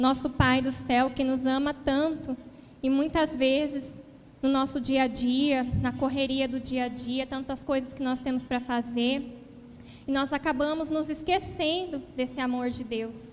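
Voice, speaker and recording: Fairly slow, monotone, flat speech from a woman with high pitch. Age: 20s. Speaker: lay preacher. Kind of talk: sermon.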